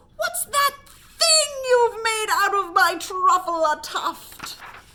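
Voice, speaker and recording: A woman shouts in a put-on character voice at an extremely high pitch. Her pace is very slow. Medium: read story. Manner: shouting, puffing, scolding.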